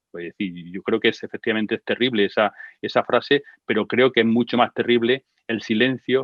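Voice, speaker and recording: A fairly quick pace with fairly even intonation. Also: man. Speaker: expert speaker on gender violence. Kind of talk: online talk and conversation. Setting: online session with sign language interpreters. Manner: fast.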